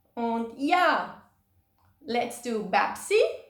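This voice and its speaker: A woman is speaking. She has a Swiss accent. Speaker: childcare organisation team member. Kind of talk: video message to volunteers. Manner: upbeat.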